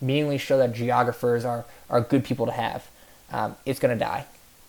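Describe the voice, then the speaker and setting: An American accent with a monotone, flat intonation. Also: man. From New York. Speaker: graduate student presenter. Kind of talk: recorded class presentation. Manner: fast; halting, many filler words.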